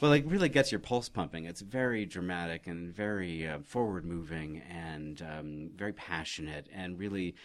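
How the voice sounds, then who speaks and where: A man's very deep, low voice with an American accent, at a moderate pace with ordinary pitch variation and hardly any pauses. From Oregon, US. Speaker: theater director. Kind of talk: interview.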